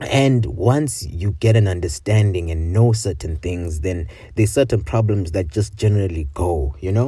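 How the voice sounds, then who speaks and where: A man with a very deep, low pitch and a dark, mellow tone speaks at a moderate pace, somewhat breathy, with lively intonation. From Botswana (Zimbabwean family), later South Africa. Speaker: podcast host, university student. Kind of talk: casual solo monologue. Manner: informal, hesitant with many fillers and repetitions.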